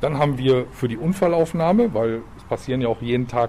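Speaking at a fairly quick pace in a medium pitch, a man makes very wide pitch swings. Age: 50s. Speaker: police officer. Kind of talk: interview answering children's questions. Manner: hesitant with fillers.

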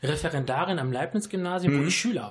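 Speaking very fast, a man with a high-pitched voice uses ordinary pitch variation. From Düsseldorf, Germany (born in Sicily). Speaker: teacher. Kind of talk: radio interview. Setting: studio.

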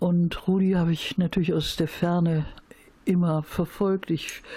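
A woman's fairly low, monotone voice, flat in intonation, at a fairly slow pace. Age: 70s. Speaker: peace and women's rights activist. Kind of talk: interview. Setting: at home.

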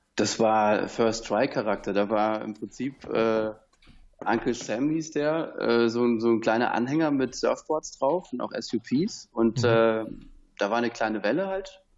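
A man's ordinary speaking voice at medium pitch, its pitch varying in an ordinary way. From southern Germany. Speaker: surfboard dealer. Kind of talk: interview. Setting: Skype call.

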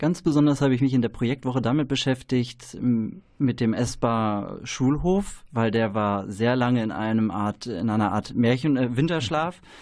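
A man with an ordinary speaking voice talks at medium pitch and a moderate pace, with ordinary pitch variation against a quiet background. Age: 30s. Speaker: trainee educator. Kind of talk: radio interview. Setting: radio studio.

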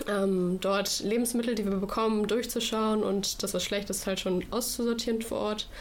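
Delivery is monotone and flat at a moderate pace, with hardly any pauses and very even loudness. Audible room echo surrounds it. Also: woman, fairly high pitch for a woman. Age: 20s. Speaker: federal volunteer at a food bank. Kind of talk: radio interview.

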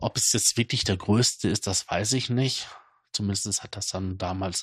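Against a quiet background, a man speaks somewhat breathily at a fairly slow pace, the sound dry and close with no echo. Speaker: podcast host. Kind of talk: casual monologue.

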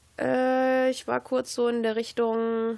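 A woman talks at a very slow pace. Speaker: campus radio host. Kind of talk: casual chat.

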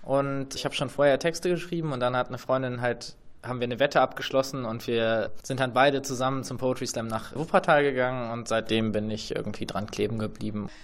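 This man has an ordinary speaking voice at medium pitch. He talks at a fairly quick pace with ordinary pitch variation and hardly any pauses. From Leipzig. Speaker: slam poet. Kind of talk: interview answers.

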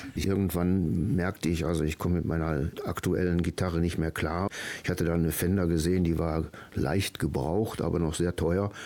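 This man's voice sits at a very deep, low pitch, with a dark, mellow tone and fairly even intonation. He talks at a moderate pace, and his loudness stays very even. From Germany, Ruhr area (Duisburg). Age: 70s. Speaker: author and retired school principal. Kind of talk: radio interview. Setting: radio studio.

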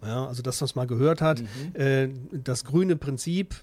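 The man's fairly high voice carries ordinary pitch variation as he talks at a moderate pace. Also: very clean recording, silent background. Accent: Ruhr. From Ruhr area, Essen. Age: 50s. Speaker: student fraternity member. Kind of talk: radio interview.

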